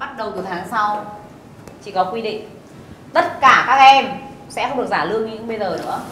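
At a fairly quick pace, a woman speaks with big swings in loudness. Light background noise and audible room echo are present. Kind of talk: scripted comedy scolding. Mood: annoyed, bossy. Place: cafe.

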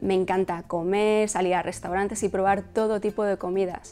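A woman with a Madrid accent, fairly even intonation and a fairly quick pace. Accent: Castilian Spanish (Madrid). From Spain, Madrid. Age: 30s. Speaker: fashion blogger and YouTuber. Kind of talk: personal vlog to camera. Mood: cheerful, warm. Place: home room. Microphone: lapel.

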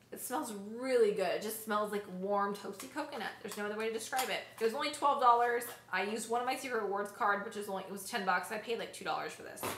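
A woman's fairly high-pitched voice at a very fast pace, with ordinary pitch variation, big swings in loudness, audible room echo and noticeable background noise. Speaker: beauty vlogger. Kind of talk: casual product haul talk. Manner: chatty, self-correcting.

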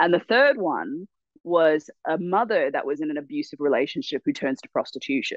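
At a fairly quick pace, a woman with a fairly low voice makes very wide pitch swings and big swings in loudness. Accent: Australian. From Australia. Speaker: actress and writer. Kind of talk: casual interview.

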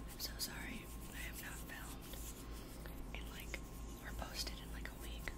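Loud background noise surrounds a woman whose speech runs at a fairly slow pace. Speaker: ASMR creator. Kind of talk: ASMR whispered rambles. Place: home room. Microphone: studio mic.

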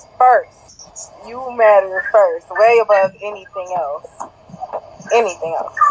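Fairly slow speech against noticeable background noise. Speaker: podcast co-host. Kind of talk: casual chat.

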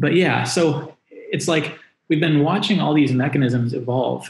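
Amid audible room echo, a man talks at a moderate pace with fairly even intonation. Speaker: remote guest. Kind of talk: interview answer. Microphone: video call.

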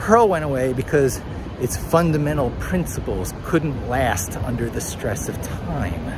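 A man with an American accent speaks at a fairly slow pace and medium pitch, animated in tone. His pitch swings very widely amid noticeable background noise. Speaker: vlogger and SEO professional. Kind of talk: solo vlog, rambling monologue and tech talk. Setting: outdoors, walking in Times Square. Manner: conversational, rambling, animated.

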